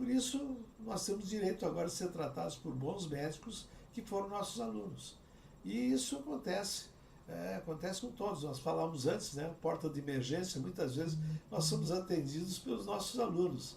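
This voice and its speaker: This man speaks at a moderate pace in a high voice with very wide pitch swings, and the recording has audible room echo and noticeable background noise. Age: 70s. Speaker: cardiac surgeon and professor. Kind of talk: interview conversation.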